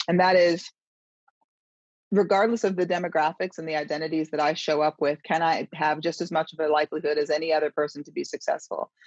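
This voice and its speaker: Recorded dry and close with no echo, a woman talks at a very fast pace with fairly even intonation and big swings in loudness. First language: not English. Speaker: author and diversity consultant. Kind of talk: interview. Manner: conversational, with fillers and restarts.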